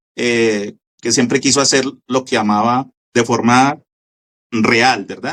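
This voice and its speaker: Very slowly, a man with a Colombian accent talks at a medium pitch. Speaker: radio station founder and broadcaster. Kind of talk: interview answer.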